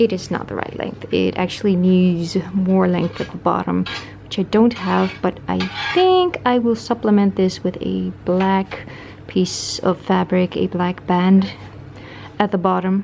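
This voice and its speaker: A woman speaks at a fairly slow pace. Background noise is noticeable. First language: not English. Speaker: sewing vlogger. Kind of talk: casual vlog narration.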